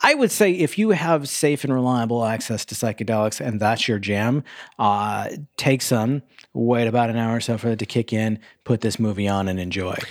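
Recorded very cleanly over a silent background, a man with a plain, everyday voice talks at a moderate pace in a medium pitch with ordinary pitch variation. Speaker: movie podcast host. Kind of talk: casual chat. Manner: rambling, filler-heavy.

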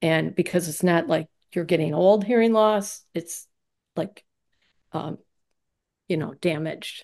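A woman with an American accent speaks fairly slowly at a fairly low pitch, leaving long, frequent pauses. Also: ordinary pitch variation. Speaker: interviewee, marketing executive and skier. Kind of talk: casual interview conversation.

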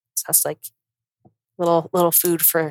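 Recorded with a dry, close sound and no echo, a woman talks in an American accent. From US, Colorado. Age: 20s. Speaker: podcast host, accountant. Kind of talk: casual solo monologue. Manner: chatty, filler-heavy.

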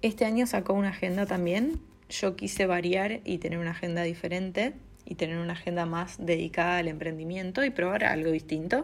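A woman with a fairly low voice talks at a fairly quick pace on a very clean recording with a silent background. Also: ordinary pitch variation. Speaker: content creator, streamer and illustrator. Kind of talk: personal vlog monologue. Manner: hesitant, many fillers.

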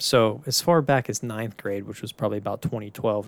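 A man speaks at a fairly quick pace with an American accent. His pitch is fairly low, and it is an ordinary speaking voice. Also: dry, close sound with no echo. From Pittsburgh, US. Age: 20s. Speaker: podcast host. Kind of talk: solo monologue.

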